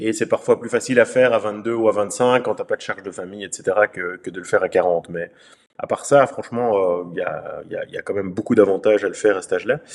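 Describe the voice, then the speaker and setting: Very fast and with big swings in loudness, a man speaks. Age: 50s. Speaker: entrepreneur. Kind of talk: interview.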